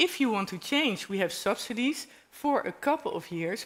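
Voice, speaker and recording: Very wide pitch swings mark this voice with a Dutch accent, heard in a very clean recording with a silent background. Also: woman. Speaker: panel speaker. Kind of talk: panel discussion.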